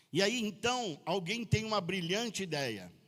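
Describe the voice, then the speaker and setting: A man with a bright, sharp tone at a fairly slow pace. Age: 60s. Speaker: pastor. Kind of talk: sermon. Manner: casual, joking.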